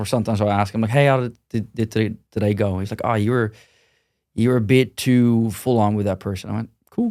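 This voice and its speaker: A man's very fast speech at a medium pitch, dark and mellow in tone, with monotone, flat intonation, on a very clean recording with a silent background. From Netherlands. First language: Dutch. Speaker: gym owner and martial arts manager. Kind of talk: podcast interview. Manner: blunt, direct.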